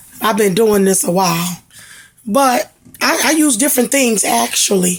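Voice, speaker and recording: A woman with a fairly high voice speaks at a moderate pace with lively intonation. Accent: Mississippi. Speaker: home cook, cooking channel host. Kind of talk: cooking tutorial. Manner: casual, chatty.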